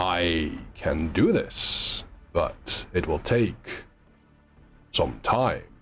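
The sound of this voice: In a put-on character voice, a man delivers rumbling, raspy lines at a very slow pace with long, frequent pauses while music plays in the background.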